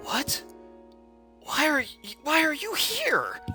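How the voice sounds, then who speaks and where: A put-on character voice, high-pitched and fairly slow, comes over clear music in the background. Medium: actual play.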